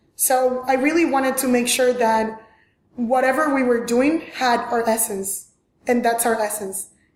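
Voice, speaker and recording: In a strong Venezuelan accent, a woman speaks at a high pitch and a fairly slow pace with very even loudness, and audible room echo surrounds her voice. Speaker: fashion designer. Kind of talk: interview. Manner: animated.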